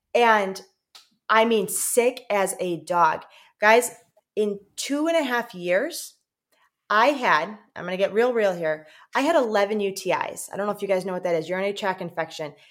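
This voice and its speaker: The speaker uses an American accent, lively intonation, and a moderate pace. Long pauses come often. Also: woman, medium pitch for a woman. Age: 30s. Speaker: missionary. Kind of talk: interview conversation.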